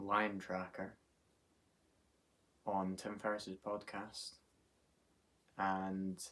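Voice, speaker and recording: This is a man with a fairly low-pitched voice. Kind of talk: casual talk to camera. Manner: monotone.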